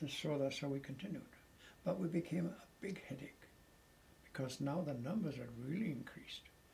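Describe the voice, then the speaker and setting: Fairly high in pitch, a man's voice has a dark, mellow tone. It sounds somewhat breathy. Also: ordinary pitch variation, moderate pace. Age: 80s+. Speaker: war veteran. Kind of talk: interview answer.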